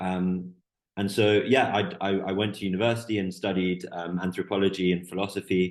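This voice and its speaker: This man has a very deep, low pitch and an English accent, delivering his words at a fairly quick pace in a monotone, flat intonation. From Canada, Vancouver. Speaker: PhD researcher in drug policy. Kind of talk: podcast interview.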